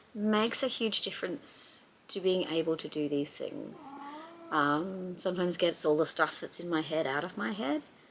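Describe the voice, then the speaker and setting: There is noticeable background noise behind the speaker. A woman with a fairly low pitch uses very wide pitch swings. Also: moderate pace. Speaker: crafter. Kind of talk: casual talk to camera. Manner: rambling, hesitant.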